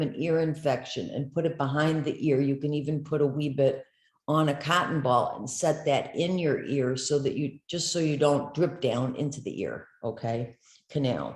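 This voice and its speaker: This woman's pitch sits very deep and low. She keeps her intonation fairly even. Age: 60s. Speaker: essential oils seller and wellness coach. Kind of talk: informal tutorial to camera. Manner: conversational with many fillers.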